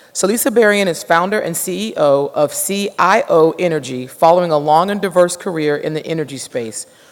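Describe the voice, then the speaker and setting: Noticeable noise sits behind speech that runs at a fairly quick pace. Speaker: conference emcee. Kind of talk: award ceremony hosting and speaker introduction. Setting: stage with audience. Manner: halting, stumbling over words.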